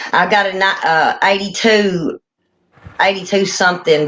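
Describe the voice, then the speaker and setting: This woman has a Tennessee accent. She talks at a fairly slow pace. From Tennessee, Perry County. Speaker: catfish angler. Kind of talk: casual chat.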